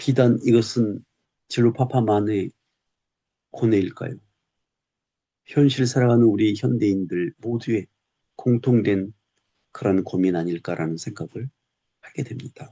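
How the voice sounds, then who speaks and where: Against a quiet background, a man talks at a fairly slow pace and medium pitch with a dark, mellow tone, long, frequent pauses and a dry, close sound with no echo. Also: ordinary pitch variation. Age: 60s. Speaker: retired teacher and YouTuber. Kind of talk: personal reflective monologue. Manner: slow, reflective.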